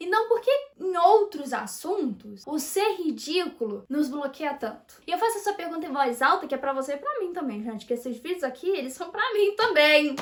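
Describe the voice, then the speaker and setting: Over noticeable background noise, a woman with an extremely high pitch sounds animated, her pitch swinging very widely with hardly any pauses. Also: moderate pace. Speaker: YouTuber, personal development. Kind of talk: casual monologue to camera.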